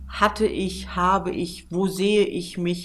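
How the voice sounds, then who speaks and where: A woman's very slow speech with audible room echo. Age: 40s. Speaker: PR manager and travel journalist. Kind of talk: interview.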